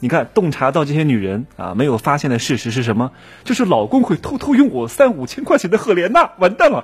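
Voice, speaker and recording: A man's voice with very wide pitch swings. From Anhui, southern (Wannan). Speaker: podcast host, self-improvement coach. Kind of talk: casual monologue with storytelling. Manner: casual, with frequent fillers and laughs.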